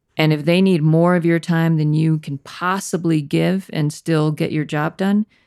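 A woman with an American accent speaks at a moderate pace in a fairly low, dark, mellow voice. Her intonation is fairly even, and the sound is dry and close with no echo. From US Northeast, Connecticut (Danbury). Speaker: corporate director and leader. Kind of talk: casual interview chat.

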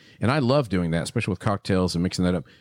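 A man talks at a very fast pace in a Texan accent. The sound is dry and close, with no echo. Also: very clean recording, silent background. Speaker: podcast host, cigar shop owner. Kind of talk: casual chat. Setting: studio.

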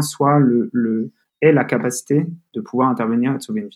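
A man talks at a medium pitch with lively intonation. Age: 20s. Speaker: growth manager at a health tech startup. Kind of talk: interview. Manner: halting, many fillers and repetitions.

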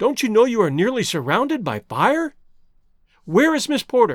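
A man in a put-on character voice speaks at a fairly slow pace, with an extremely high pitch and very wide pitch swings.

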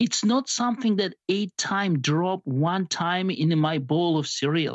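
A man speaking fairly slowly, with lively intonation. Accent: Georgian. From Georgia (country). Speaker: biomedical sciences professor. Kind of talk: interview.

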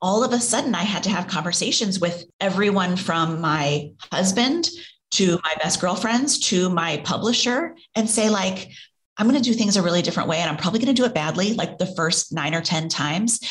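Speaking at a fairly quick pace, a woman with a somewhat breathy, medium-pitched voice uses lively intonation while keeping her loudness very even. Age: 40s. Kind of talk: casual chat.

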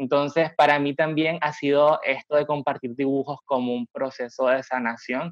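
Flat, monotone delivery from a man, medium in pitch and moderate in pace. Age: 20s. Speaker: graphic design student and digital evangelist. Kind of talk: interview conversation.

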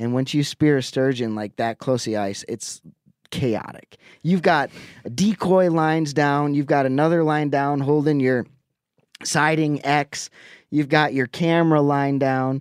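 A man with an Upper Midwest accent, recorded dry and close with no echo. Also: ordinary pitch variation. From Wisconsin, Lake Winnebago. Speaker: angler. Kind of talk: casual chat.

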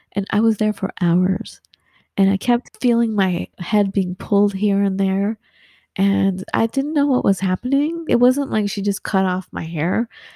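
A woman with an American accent talks at a fairly slow pace, with lively intonation and a medium pitch. Her tone is dark and mellow and somewhat breathy. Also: dry, close sound with no echo. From Southern California. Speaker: photographer and podcaster. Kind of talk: interview. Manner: animated.

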